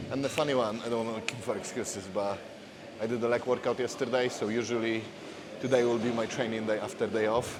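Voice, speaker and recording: Speaking very fast in a Polish accent, a man holds a medium pitch with monotone, flat intonation, amid noticeable background noise and audible room echo. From Poland. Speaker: fitness coach. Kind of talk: casual vlog talk to camera. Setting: gym, public place. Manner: halting, non-fluent English.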